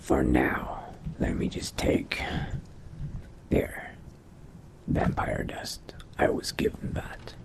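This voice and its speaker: A man puts on a raspy character voice. He speaks at a very slow pace. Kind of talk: in-character game roleplay narration.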